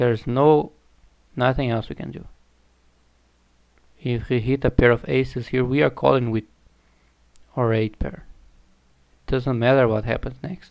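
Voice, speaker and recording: A man speaks at a moderate pace in a medium pitch, with a non-native accent and fairly even intonation. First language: not English. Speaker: online poker streamer. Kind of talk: live gameplay commentary. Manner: halting, self-correcting.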